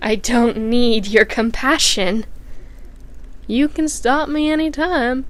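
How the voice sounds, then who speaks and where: In a put-on character voice, the speaker sounds raspy, going at a fairly slow pace with long, frequent pauses. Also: woman, high pitch for a woman. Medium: read story. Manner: stiff, oddly shaped phrasing.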